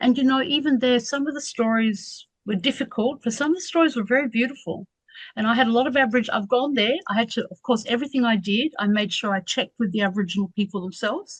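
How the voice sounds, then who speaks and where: This woman talks at a very fast pace in an Australian accent. Her pitch is fairly high, with ordinary variation. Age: 60s. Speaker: academic researcher. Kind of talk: radio interview.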